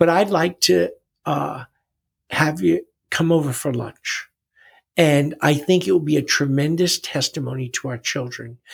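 A man with an American accent, fairly high in pitch, somewhat breathy, with lively intonation, a fairly slow pace and long, frequent pauses, in a very clean, dry, close recording with no echo and a silent background. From New York City. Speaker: retired wrestling coach. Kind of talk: testimony.

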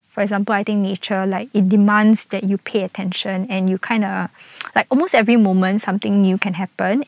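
A woman at medium pitch with a Singaporean accent, monotone and flat, in a dry, close sound with no echo. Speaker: nature walk guide and farm volunteer. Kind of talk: casual interview chat.

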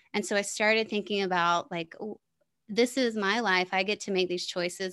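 The woman's pitch sits in the medium range, and her pace is moderate. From US South. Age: 40s. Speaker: podcast host and business coach. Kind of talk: casual interview chat.

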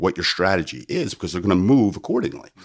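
Speaking at a very fast pace, a man talks with an American accent. His voice is fairly low in pitch and shows vocal fry. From US, South New Jersey. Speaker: strength and conditioning coach. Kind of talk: casual interview chat, explaining.

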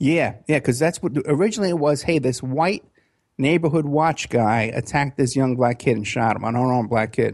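Words come at a fairly quick pace with ordinary pitch variation. The background is quiet. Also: man, medium pitch for a man. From New York City (Bronx, Staten Island). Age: 50s. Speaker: private investigator. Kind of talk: interview.

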